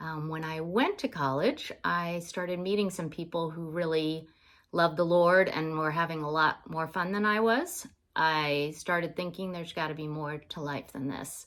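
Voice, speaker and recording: In a very clean recording with a silent background, a woman has an unremarkable speaking voice, fairly low in pitch with ordinary pitch variation. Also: moderate pace. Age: 60s. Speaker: sports ministry worker. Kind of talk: personal testimony for an application video. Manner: casual, with many filler words.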